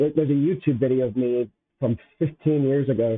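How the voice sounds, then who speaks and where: Fairly even intonation marks a man's fairly quick speech. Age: 40s. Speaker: live streamer. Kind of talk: casual live stream monologue. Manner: halting, repeats words. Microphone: bad mic, being adjusted.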